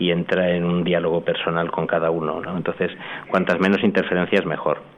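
Speaking fairly quickly in a very deep, low voice, the man keeps a flat, monotone intonation against noticeable background noise. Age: 50s. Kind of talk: radio interview testimony. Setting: hall with live audience. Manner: halting.

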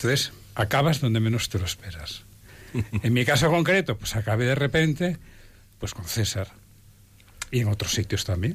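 At a moderate pace and medium pitch, a man speaks in a somewhat breathy voice with lively intonation. He leaves long, frequent pauses. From Spain. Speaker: lawyer and volunteer. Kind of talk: testimony.

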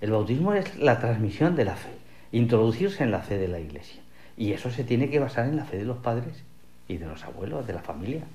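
Speaking at a fairly quick pace, a man with a medium-pitched, somewhat breathy voice and a dark, mellow tone swings his pitch very widely, with audible room echo. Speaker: literature professor. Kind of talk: radio interview.

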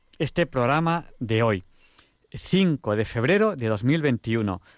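Very wide swings in pitch mark this man's speech, captured in a very clean recording against a silent background. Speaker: radio host. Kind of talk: radio talk show. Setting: radio studio.

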